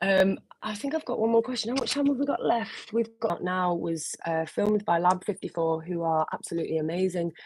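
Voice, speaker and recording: Lively in intonation and somewhat breathy, a woman talks fairly quickly at a medium pitch. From northern England, around Liverpool. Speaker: singer. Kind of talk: live stream Q&A. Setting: solo live video stream. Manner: casual, hesitant with many fillers.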